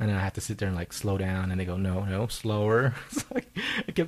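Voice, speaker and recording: On a very clean recording with a silent background, a man talks. He moves at a fairly quick pace. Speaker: podcast host. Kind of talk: casual chat. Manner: fast.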